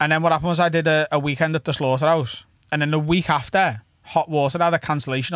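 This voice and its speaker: A man with a strong Scouse accent, fairly high in pitch, with fairly even intonation. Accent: thick Scouse. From Liverpool, England. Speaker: stand-up comedian. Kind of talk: casual chat. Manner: fast.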